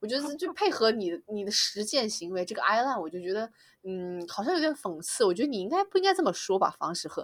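Very wide pitch swings mark this woman's fairly high voice as she speaks at a very fast pace. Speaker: regular podcast guest. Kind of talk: casual chat.

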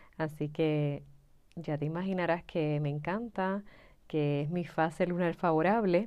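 The delivery comes at a fairly slow pace, its intonation fairly even, in a normal speaking voice. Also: woman, fairly low pitch for a woman. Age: 30s. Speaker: astrology mentor podcaster. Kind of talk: reflective solo monologue.

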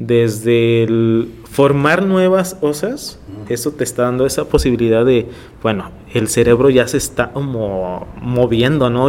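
Using an ordinary speaking voice, a man talks fairly slowly at a medium pitch with ordinary pitch variation. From Tijuana, Mexico (born in Ensenada). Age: 30s. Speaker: visual artist. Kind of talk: interview.

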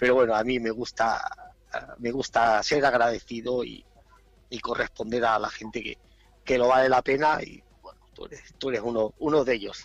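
Using a monotone, flat intonation, a man speaks at a moderate pace and medium pitch while his loudness swings widely. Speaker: DJ. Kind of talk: interview.

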